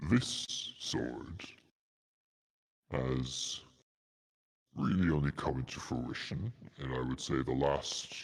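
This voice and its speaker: A man's put-on character voice, very deep and low, at a fairly slow pace with long, frequent pauses. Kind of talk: slow, grand fantasy dragon voice. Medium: actual play. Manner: measured, formal, pondering.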